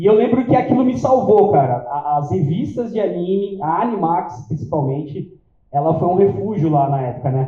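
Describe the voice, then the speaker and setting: A man with a São Paulo accent talks at a high pitch with very wide pitch swings. Audible room echo surrounds his voice. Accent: Paulistano Brazilian Portuguese. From São Paulo, Brazil (south zone). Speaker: event organizer and interviewer. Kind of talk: live event talk to audience. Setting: stage with audience. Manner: casual, halting with fillers.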